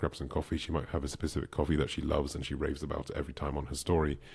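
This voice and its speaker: The voice has vocal fry. Its intonation stays fairly even. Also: man. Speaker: online business coach. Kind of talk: tutorial. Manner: fast.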